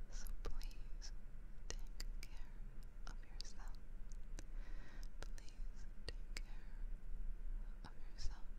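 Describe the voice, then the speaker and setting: Whispering and soft-spoken, a woman talks in a soothing tone at a very slow pace with long, frequent pauses. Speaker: ASMR creator. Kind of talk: soft whispered affirmations. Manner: soft close-mic whisper, soothing. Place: home room. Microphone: studio mic.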